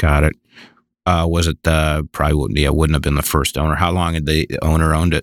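A man's very deep, low voice with an American accent, at a fairly quick pace and very even loudness. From US Midwest. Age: old. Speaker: podcast host. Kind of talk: interview.

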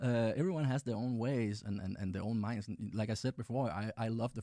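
A dark, mellow tone at a fairly quick pace, with ordinary pitch variation, on a very clean recording with a silent background. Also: man. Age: 30s. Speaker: tech company founder and CEO. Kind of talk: interview. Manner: halting, frequent repetitions.

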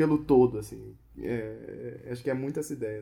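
A dark, mellow tone with ordinary pitch variation. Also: man. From Brazil, Rio de Janeiro. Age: 30s. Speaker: illustrator and designer. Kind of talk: casual interview. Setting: home recording.

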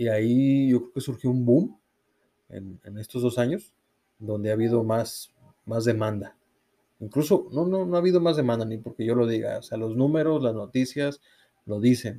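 The tone is dark and mellow, with ordinary pitch variation. Delivery comes at a moderate pace. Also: man, medium pitch for a man. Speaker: cycling podcast co-host. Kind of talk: casual chat.

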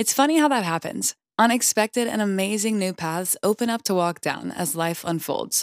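In an American accent, a woman with an unremarkable speaking voice talks at medium pitch and a moderate pace with lively intonation, on a very clean recording with a silent background and a dry, close sound with no echo. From US South. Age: 20s. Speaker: podcast host and singer-songwriter. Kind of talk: reading aloud. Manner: warm, upbeat.

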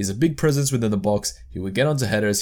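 With an Australian accent, a man talks at a very fast pace with fairly low pitch and lively intonation on a very clean recording with a silent background. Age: 20s. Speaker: football podcast host. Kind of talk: solo football podcast commentary.

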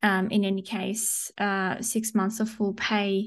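A woman speaks with an Australian accent. Her pitch is medium. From Sydney, Australia. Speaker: corporate podcast host. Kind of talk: casual interview chat. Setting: video call with screen share.

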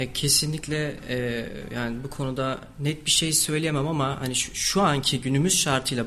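Noticeable background noise sits behind a man with a fairly high pitch. He speaks at a moderate pace with fairly even intonation. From Turkey, Kayseri. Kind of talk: radio interview.

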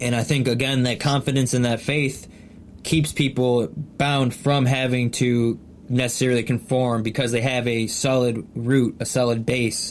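This man has an ordinary speaking voice. His pitch is medium and his intonation fairly even. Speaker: podcast co-host. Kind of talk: casual chat.

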